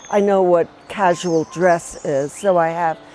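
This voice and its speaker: Speaking at a very slow pace, a woman with a fairly low pitch keeps a fairly even intonation over noticeable background noise. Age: 70s. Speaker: sculptor. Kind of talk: interview.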